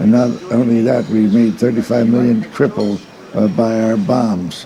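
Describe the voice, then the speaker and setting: A man with an American accent at a medium pitch and moderate pace, with fairly even intonation, very even loudness and noticeable background noise. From Indiana, US Midwest. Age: 80s+. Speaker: political activist. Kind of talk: documentary interview. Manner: halting, with many fillers.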